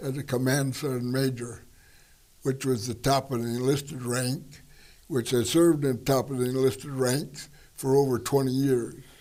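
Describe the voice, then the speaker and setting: Speaking fairly slowly with an American accent, a man has a dark, mellow tone at a medium pitch. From US Midwest, Wisconsin (Wood County). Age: 90s. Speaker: war veteran. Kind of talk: interview.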